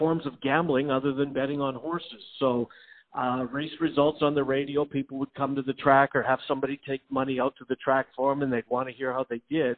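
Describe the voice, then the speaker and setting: This man talks at a fairly quick pace, with hardly any pauses and a fairly high pitch. His intonation is monotone and flat. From Canada (Winnipeg). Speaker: sports radio host and former race caller. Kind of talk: casual interview.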